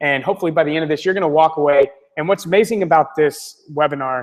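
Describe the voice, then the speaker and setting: A man speaks very fast with an American accent. His pitch is fairly high. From North Florida. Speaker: webinar presenter. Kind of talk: webinar sales presentation. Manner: animated.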